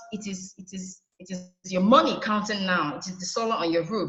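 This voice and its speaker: A woman with a Nigerian accent at a fairly quick pace, with audible room echo. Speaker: solar energy trainer. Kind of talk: webinar presentation. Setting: online webinar.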